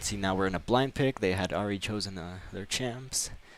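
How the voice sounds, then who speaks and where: A man with an American accent, an ordinary speaking voice, fairly low in pitch, with ordinary pitch variation at a moderate pace, on a very clean recording with a silent background. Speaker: esports caster. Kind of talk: live commentary.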